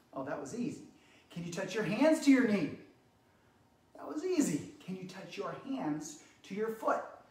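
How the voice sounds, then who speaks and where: In an animated, upbeat tone, a man speaks with long, frequent pauses. The room echo is audible. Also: moderate pace. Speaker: fitness instructor for kids. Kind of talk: live online kids exercise class, guiding movements. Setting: living room, live stream. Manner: animated, upbeat, encouraging, clear simple directions to children.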